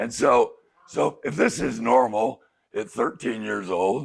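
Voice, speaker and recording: A man with a fairly low voice speaks on a very clean recording with a silent background. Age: 60s. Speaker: addiction counselor. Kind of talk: group talk. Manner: animated.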